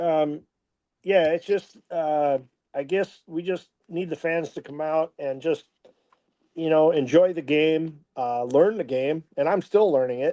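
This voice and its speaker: Fairly slow and fairly high in pitch, a man speaks with a dark, mellow tone and ordinary pitch variation, the sound dry and close with no echo. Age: 60s. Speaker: football head coach. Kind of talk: casual interview. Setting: live stream. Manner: hesitant, many fillers.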